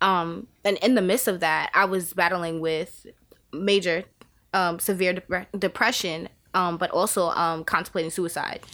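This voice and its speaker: A woman with a New York accent speaks at a fairly slow pace in a bright, sharp tone, her medium pitch and fairly even intonation held at very even loudness on a very clean recording with a silent background. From Staten Island, New York. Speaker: podcast guest, state employee. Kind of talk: casual interview, faith testimony. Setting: in person in Albany.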